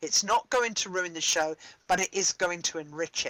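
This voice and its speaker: A woman with a slight British accent, dry and close-miked with no echo. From Britain. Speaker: theatre director and playwright. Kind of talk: workshop discussion. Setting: live-streamed online workshop.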